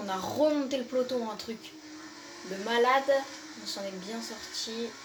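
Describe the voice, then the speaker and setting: Noticeable background noise and audible room echo surround this recording. A woman speaks at a fairly high pitch with ordinary pitch variation. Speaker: gaming youtuber. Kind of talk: gameplay commentary. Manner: hesitant with fillers.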